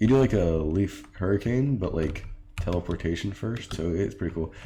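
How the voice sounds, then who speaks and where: At a fairly quick pace, a man with a very deep, low pitch speaks in a dark, mellow, somewhat breathy tone with ordinary pitch variation. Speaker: game mod developer. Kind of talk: tutorial. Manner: fast; hesitant, many fillers.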